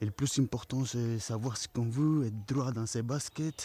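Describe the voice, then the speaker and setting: Speaking with a non-native accent, a man talks at a moderate pace with fairly even intonation, a medium pitch and a dark, mellow tone. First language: not French (speaking French). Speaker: travel vlogger. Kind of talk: casual vlog monologue. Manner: halting.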